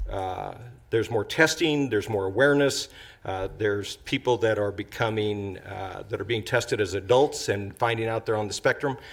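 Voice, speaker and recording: On a very clean recording with a silent background, a man with a somewhat breathy voice and medium pitch talks at a moderate pace with ordinary pitch variation. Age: 60s. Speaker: city council member. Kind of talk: council meeting remarks. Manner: halting.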